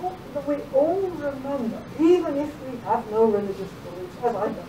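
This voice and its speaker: With an American accent and a high pitch, a woman talks at a moderate pace through very wide pitch swings, amid noticeable background noise and audible room echo. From England. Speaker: philosophy and law professor. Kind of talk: lecture. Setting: lecture hall with audience.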